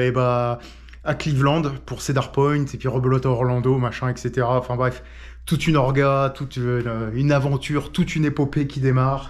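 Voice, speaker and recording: A man's medium-pitched voice, monotone and flat in intonation, at a moderate pace over a quiet background. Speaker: travel vlogger. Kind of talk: casual vlog talk to camera. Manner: hesitant.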